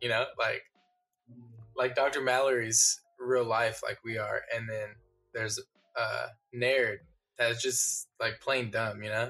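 A man's monotone, flat delivery at a fairly slow pace, with long, frequent pauses and music in the background. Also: medium pitch for a man. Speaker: podcast host. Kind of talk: casual comedy chat.

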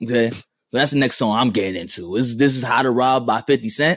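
Against a quiet background, a man with a New York accent speaks at a medium pitch. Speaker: podcast co-host. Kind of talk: casual chat.

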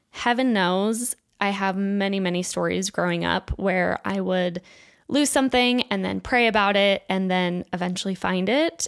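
Someone speaks at a fairly slow pace with an American accent on a very clean recording with a silent background. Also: woman. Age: 20s. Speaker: podcast host. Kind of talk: reading listener submissions and commentary. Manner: animated.

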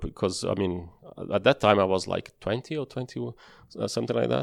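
Lively intonation and vocal fry mark this man's voice. He talks at a fairly quick pace against a quiet background. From Brazil. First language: Portuguese. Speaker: former racing driver. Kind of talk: interview. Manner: halting.

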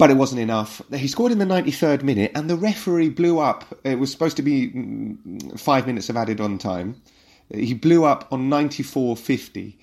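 A man with an unremarkable speaking voice talks at a fairly quick pace. His medium pitch carries lively intonation. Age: 30s. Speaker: football podcast host. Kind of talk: casual chat.

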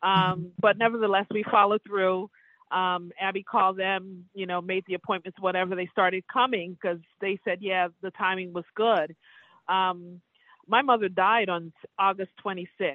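Monotone, flat intonation from a woman at a moderate pace. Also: medium pitch for a woman. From Caribbean. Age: 60s. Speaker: cancer survivor. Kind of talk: personal testimony interview. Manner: halting.

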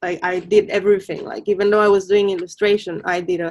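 A woman's fairly quick, monotone delivery with flat intonation, in a Spanish accent. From Mexico, Colima. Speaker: artist. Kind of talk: interview.

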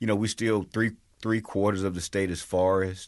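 Speaking at a moderate pace with a Southern US accent, a man uses a very deep, low pitch with ordinary variation. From Mississippi (Natchez). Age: 50s. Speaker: state legislator. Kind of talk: interview.

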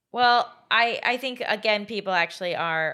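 A woman speaks at a moderate pace with a medium pitch and vocal fry. Her tone is bright and sharp, with lively intonation. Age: 30s. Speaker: podcast co-host. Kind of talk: casual chat.

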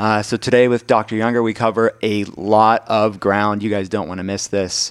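A plain, everyday voice moves at a moderate pace with fairly even intonation. The recording is dry and close, without echo. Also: man. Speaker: podcast cohost. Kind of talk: casual chat.

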